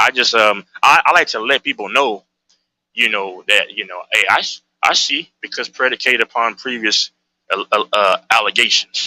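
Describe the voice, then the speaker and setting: A man's bright, sharp tone at a moderate pace. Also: medium pitch for a man, ordinary pitch variation, dry, close sound with no echo. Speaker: sports debate panelist. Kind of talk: heated debate. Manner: loud; halting, many repeated words.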